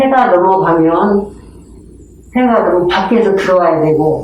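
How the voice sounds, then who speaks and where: A woman speaks with lively intonation over noticeable background noise. Audible room echo surrounds her voice. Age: 60s. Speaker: community storyteller. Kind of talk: personal testimony. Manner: hesitant, with fillers.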